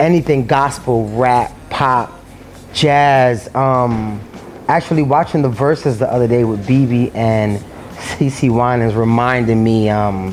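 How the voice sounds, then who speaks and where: Against noticeable background noise, a man with a New York accent talks fairly slowly at a medium pitch, his loudness very even and his pitch variation ordinary. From New York City. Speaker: singer and dance teacher. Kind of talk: casual interview talk. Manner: hesitant, many fillers.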